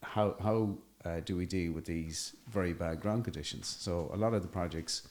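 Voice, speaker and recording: In an Irish accent, a man speaks at a very deep, low pitch with ordinary pitch variation. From Ireland. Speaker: construction entrepreneur. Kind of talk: podcast interview. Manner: hesitant, many fillers.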